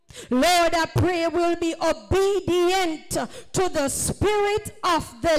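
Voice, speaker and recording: Against a quiet background, the speech moves at a very slow pace. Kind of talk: fervent public prayer. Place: church.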